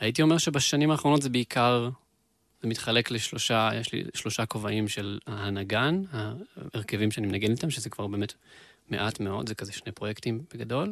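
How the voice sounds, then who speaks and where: This man has a normal speaking voice, a medium pitch with ordinary pitch variation, and a moderate pace. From Israel, Beersheba. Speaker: musician and producer. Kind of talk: casual interview chat.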